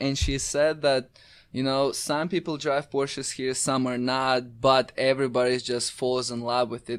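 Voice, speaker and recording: A man's monotone, flat voice in a very clean recording with a silent background. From Crimea, Ukraine. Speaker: social media specialist. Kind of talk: casual chat. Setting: studio.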